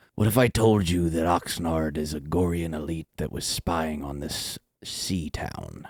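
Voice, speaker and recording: Using a put-on character voice with a very deep, low pitch, a man talks at a moderate pace with hardly any pauses. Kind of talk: pirate talk. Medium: actual play. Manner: blunt, swaggering.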